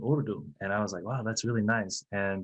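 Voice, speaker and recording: This man has a plain, everyday voice with a fairly low pitch. He talks at a moderate pace with ordinary pitch variation. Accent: American. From US South, Florida (Bartow, near Tampa). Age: 40s. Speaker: translator, translation company manager. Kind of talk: podcast interview.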